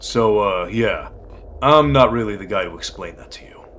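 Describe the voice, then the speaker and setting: A man's put-on character voice at medium pitch and moderate pace, with clear background noise. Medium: game stream. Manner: casual, evasive.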